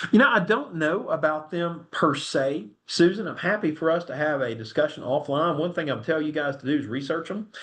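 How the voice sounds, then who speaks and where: Talking at a fairly quick pace, a man with a Southern US accent uses a fairly high pitch and lively intonation. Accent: US South. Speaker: attorney presenting a webinar. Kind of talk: webinar presentation with Q&A. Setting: online webinar. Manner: fast; casual, animated.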